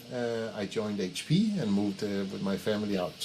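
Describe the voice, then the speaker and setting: This man talks with a strong Danish accent. His intonation is lively. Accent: thick Danish. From Denmark. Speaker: head of people, HR executive. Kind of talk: casual interview. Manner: halting, many fillers.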